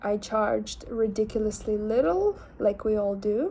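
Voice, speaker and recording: A woman speaks at a fairly slow pace with a Lithuanian accent. Her tone is dark and mellow. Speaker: artist and vlogger. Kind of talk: casual vlog. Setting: selfie camera.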